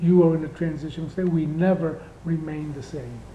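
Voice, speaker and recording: A man talks fairly quickly in a high, monotone, flat voice. Noticeable background noise and audible room echo fill the recording. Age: 60s. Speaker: spiritual teacher. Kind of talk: spiritual talk. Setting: indoor room.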